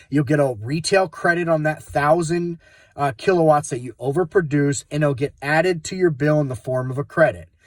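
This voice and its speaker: A man's somewhat breathy voice at a fairly quick pace, on a very clean recording with a silent background. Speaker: solar sales trainer. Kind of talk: tutorial. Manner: fast.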